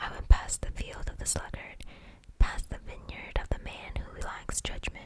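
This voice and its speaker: Fairly slow whispered speech from a woman, with noticeable noise behind it. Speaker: ASMR Bible reader. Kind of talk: scripture reading for sleep. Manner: soft-spoken, whispered.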